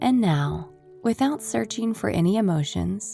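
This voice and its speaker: Fairly slow speech from a woman over background music. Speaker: meditation guide. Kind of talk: guided meditation.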